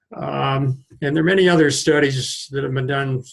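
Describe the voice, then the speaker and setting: A man with an American accent talks at a medium pitch. His voice is somewhat breathy, with fairly even intonation. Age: 70s. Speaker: retired family physician. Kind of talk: educational talk to camera. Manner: halting, with fillers.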